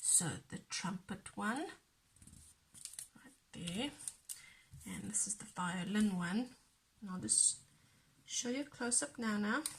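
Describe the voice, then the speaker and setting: A soft-spoken woman at a fairly slow pace, with lively intonation, big swings in loudness, and long, frequent pauses. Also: medium pitch for a woman. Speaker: crafting youtuber. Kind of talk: tutorial.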